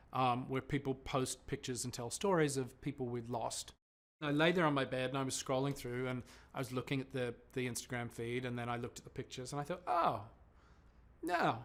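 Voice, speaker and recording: A man with an Australian accent, medium in pitch. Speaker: television presenter. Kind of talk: interview.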